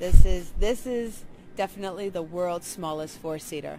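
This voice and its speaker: A woman talks at a fairly quick pace with ordinary pitch variation. Music plays clearly in the background. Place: hall.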